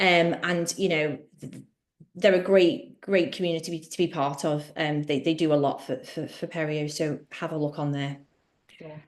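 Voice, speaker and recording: A woman with a Liverpool accent speaks at a moderate pace in a very deep, low pitch, with ordinary pitch variation and big swings in loudness. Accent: Liverpool (Scouse). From Liverpool, England. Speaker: dental therapist. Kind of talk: webinar Q&A.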